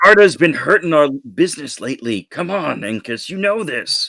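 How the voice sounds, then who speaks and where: A raspy, high-pitched put-on character voice from a man at a moderate pace. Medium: actual play. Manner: paternal, protective.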